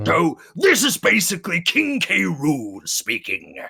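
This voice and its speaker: A man's high, put-on character voice at a fairly slow pace. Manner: flamboyant.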